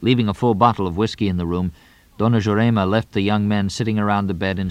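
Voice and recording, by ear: Someone is reading aloud in a natural voice. The words come in that manner throughout.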